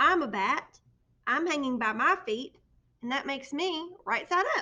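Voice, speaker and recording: A woman's squeaky put-on character voice, high and raised to project, at a moderate pace. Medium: read story.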